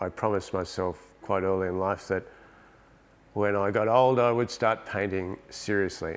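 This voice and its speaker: With an Australian accent, a man speaks at a fairly low pitch and moderate pace with ordinary pitch variation. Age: 60s. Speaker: painter and digital artist. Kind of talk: interview monologue about his art. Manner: halting, repeats words.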